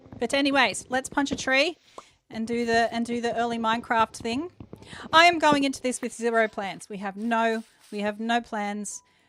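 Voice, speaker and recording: A woman talks with an Australian accent. Her pitch is fairly high, with ordinary variation. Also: moderate pace. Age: 40s. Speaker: gaming streamer. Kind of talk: live game stream chat. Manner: loud.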